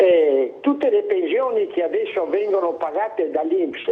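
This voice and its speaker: A man speaks at a very slow pace. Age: 80s+. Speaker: caller. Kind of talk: call-in complaint. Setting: phone call. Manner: animated.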